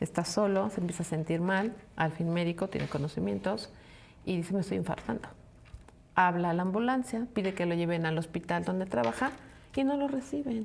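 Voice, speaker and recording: This woman's voice carries some breathiness. Her intonation is lively and her pace fairly quick. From Mexico, provinces. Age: 60s. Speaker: podcast co-host. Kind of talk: casual chat.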